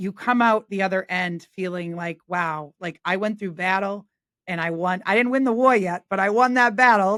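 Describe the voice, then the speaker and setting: In an American accent, a woman talks at a moderate pace and medium pitch with ordinary pitch variation, on a very clean recording with a silent background. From New England, Boston family. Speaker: realtor. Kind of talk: casual interview chat.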